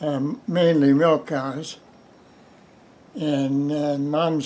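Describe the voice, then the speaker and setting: The voice has a dark, mellow tone and fairly even intonation, moving at a very slow pace. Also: man. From US Midwest. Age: 90s. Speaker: retired farmer. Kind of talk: oral history interview. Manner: halting.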